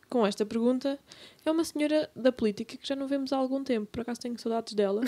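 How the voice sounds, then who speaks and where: A woman with a dark, mellow tone, ordinary pitch variation and a fairly quick pace. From Lisbon, Portugal. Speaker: podcast co-host. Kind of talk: casual chat.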